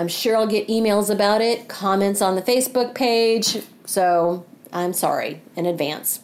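Over noticeable background noise, a woman talks at a fairly slow pace, her medium-pitched voice held at a very even loudness. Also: ordinary pitch variation. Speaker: podcast host, angel intuitive. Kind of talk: solo podcast monologue. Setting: studio microphone.

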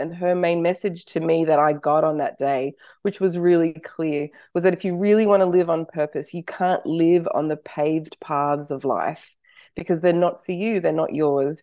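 At a moderate pace, a woman with a dark, mellow tone speaks in an Australian accent against a quiet background. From Australia (Sydney), early childhood in Canada and US. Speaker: author and wellbeing teacher. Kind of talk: interview. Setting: remote call.

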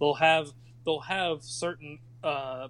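A man's fairly high pitch in a plain, everyday voice, ordinary pitch variation, and a very clean recording with a silent background. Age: 30s. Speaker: podcast guest. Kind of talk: casual chat.

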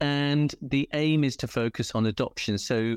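A man speaks with a British accent and fairly even intonation. The sound is dry and close with no echo, over a quiet background. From England. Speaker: dog rescue volunteer. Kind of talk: interview.

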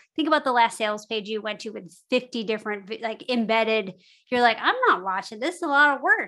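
An animated delivery in a bright, sharp tone over a quiet background. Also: woman. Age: 40s. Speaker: podcast hosting company co-founder. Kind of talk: interview conversation.

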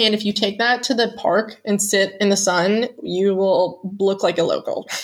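In an ordinary speaking voice with an American accent, a woman of medium pitch talks with fairly even intonation. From US Pennsylvania. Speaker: travel writer and expat. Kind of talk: casual interview chat.

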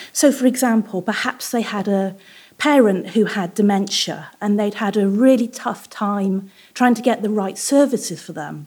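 With a British accent, a woman of fairly high pitch and ordinary pitch variation talks at a moderate pace on a very clean recording with a silent background. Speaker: psychologist. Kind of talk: storytelling. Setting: stage with audience.

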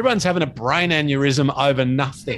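This man speaks in an Australian accent. His pace is moderate and his pitch varies in an ordinary way. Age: 50s. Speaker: podcast host and fitness speaker. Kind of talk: casual interview chat.

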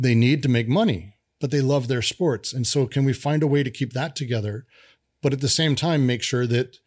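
A man's normal speaking voice in an American accent, medium-pitched with fairly even intonation at a fairly quick pace, on a very clean recording with a silent background. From US, Denver, Colorado. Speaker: game developer. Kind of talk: casual chat.

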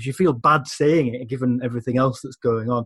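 With a dry, close sound and no echo, a man speaks very fast with ordinary pitch variation. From England. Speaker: magazine editor and football writer. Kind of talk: casual chat.

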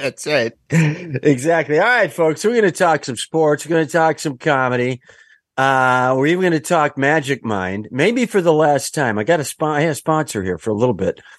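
This man has a plain, everyday voice, fairly high in pitch, with lively intonation and a moderate pace against a quiet background. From Wisconsin. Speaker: comedian and podcast host. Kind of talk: casual chat.

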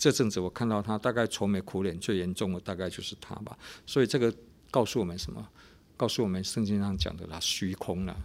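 A man talks very fast, his fairly low voice moving through ordinary pitch variation. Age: 50s. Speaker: pastor and radio host. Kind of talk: radio devotional talk.

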